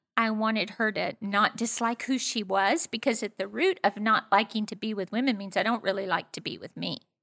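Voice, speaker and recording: A woman talks at a fairly quick pace in a fairly high pitch with a bright, sharp tone and fairly even intonation, recorded very cleanly with a silent background and a dry, close sound with no echo. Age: 60s. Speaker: pastor. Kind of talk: casual interview conversation.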